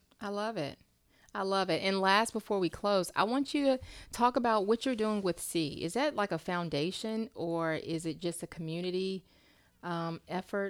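A woman with an American accent uses a plain, everyday voice at a moderate pace with ordinary pitch variation, in a very clean recording with a silent background. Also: medium pitch for a woman. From Charlotte, North Carolina. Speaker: podcast host. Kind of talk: interview.

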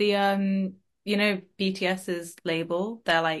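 A woman at medium pitch and a fairly slow pace against a quiet background. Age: 20s. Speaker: podcast host. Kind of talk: interview. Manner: animated.

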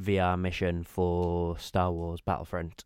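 Very slow pace, in a British accent. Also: man, very clean recording, silent background. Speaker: podcast host. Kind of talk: casual chat.

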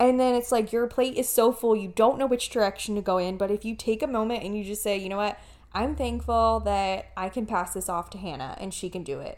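On a very clean recording with a silent background, a woman talks at a fairly quick pace with hardly any pauses. Hers is an unremarkable speaking voice, medium in pitch with ordinary pitch variation. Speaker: podcast co-host, nurse. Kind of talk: casual chat, podcast. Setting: pre-recorded podcast. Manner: playful, laughing.

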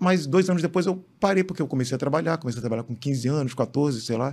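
Lively intonation marks a man's somewhat breathy voice as he talks at a very fast pace in a very clean recording with a silent background. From Rio de Janeiro, Brazil. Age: 50s. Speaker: sports photographer. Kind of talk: interview. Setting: studio.

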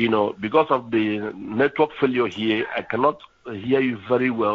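A plain, everyday voice from a man, medium-pitched and moderately paced, with ordinary pitch variation. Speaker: scammer on phone. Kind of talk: phone call, scammer pitch. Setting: phone call.

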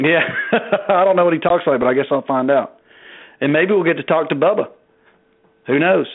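Talking at a fairly quick pace with ordinary pitch variation, a man with a Southern US accent leaves long, frequent pauses. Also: fairly high pitch for a man, very even loudness. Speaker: podcast host. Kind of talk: casual chat.

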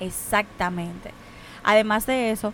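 Fairly slow and with fairly even intonation, a woman speaks in a medium pitch with a normal speaking voice. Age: 20s. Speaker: international shipping professional. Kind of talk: casual chat.

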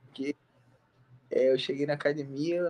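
The sound is dry and close with no echo, and the pace is moderate. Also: man. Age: 20s. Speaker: MMA fighter. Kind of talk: interview. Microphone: bad connection.

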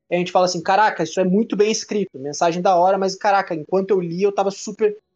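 The man's voice is high and his pitch varies normally as he talks fairly quickly. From Brazil. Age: 20s. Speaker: podcast co-host. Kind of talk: casual chat.

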